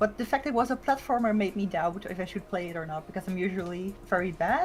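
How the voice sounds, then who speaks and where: A woman with a Dutch accent at a very fast pace, music in the background. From Netherlands. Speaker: VTuber streamer. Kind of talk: casual chat. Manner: hesitant, many fillers.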